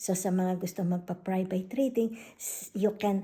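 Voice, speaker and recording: A woman's somewhat breathy voice at medium pitch, with a dark, mellow tone and ordinary pitch variation. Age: 60s. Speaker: tarot reader. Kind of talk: casual vlog announcement.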